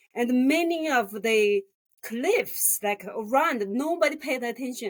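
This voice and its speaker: Speaking at a fairly slow pace with a Chinese accent, a woman uses a high pitch and lively intonation. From rural China. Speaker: graphic designer. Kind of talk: interview. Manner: halting.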